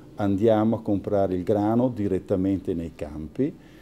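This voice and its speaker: A man speaks in a dark, mellow tone with a strong Italian accent. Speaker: family pasta company owner. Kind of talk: interview, mostly in Italian.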